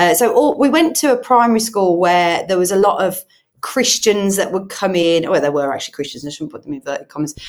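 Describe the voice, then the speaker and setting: A woman talks with a Brummie accent at a very fast pace. Her pitch swings very widely. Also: medium pitch for a woman. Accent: Brummie (Birmingham). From Birmingham, England. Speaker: charity head and online church pastor. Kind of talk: casual interview, personal testimony. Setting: in person, studio.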